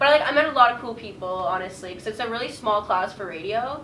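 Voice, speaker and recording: In a Canadian accent, the voice moves at a moderate pace with ordinary pitch variation, amid noticeable background noise and audible room echo. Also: woman. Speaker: radio broadcasting graduate. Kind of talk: casual interview. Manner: loud.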